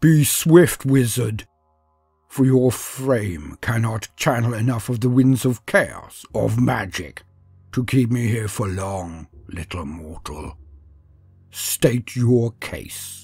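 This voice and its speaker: A man's gravelly, put-on character voice at medium pitch, very slow in pace, on a very clean recording with a silent background. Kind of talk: dark fantasy horror narration. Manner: amused, condescending, archaic.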